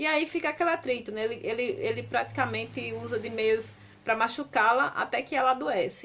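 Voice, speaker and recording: A woman delivers her words at a fairly quick pace. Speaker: book reviewer. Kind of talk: book review vlog. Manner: halting.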